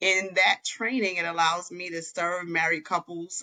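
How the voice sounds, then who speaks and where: A woman's fairly low, bright, sharp voice at a moderate pace. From New York City. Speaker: marriage counselor. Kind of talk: podcast interview.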